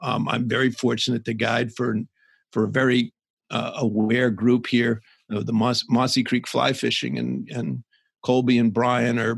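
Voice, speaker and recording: Monotone, flat intonation and vocal fry mark this man's speech in an American accent. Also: medium pitch for a man, moderate pace. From US South. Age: 60s. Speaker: conservation advocate and fly fishing guide. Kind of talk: podcast interview.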